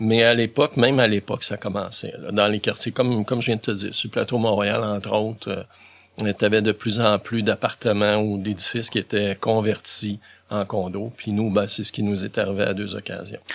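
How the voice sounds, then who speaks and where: Speaking at a moderate speed, a man with a fairly low voice holds a flat, monotone intonation on a very clean recording with total background silence. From Quebec, Montreal. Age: 60s. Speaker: volunteer for visually impaired people. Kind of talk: interview.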